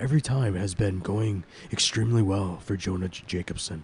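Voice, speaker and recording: Over clear background noise, a man does a raspy put-on character voice at a fairly low pitch and a fairly quick pace. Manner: serious, dramatic narration.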